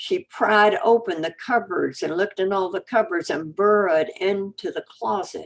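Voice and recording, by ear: A natural voice reading aloud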